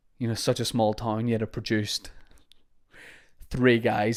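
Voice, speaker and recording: In a very clean recording with a silent background, a man with a Northern Irish accent speaks at a moderate pace and medium pitch, his intonation monotone and flat. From Northern Ireland, Holywood, County Down. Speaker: podcast host and comedian. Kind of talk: casual podcast monologue.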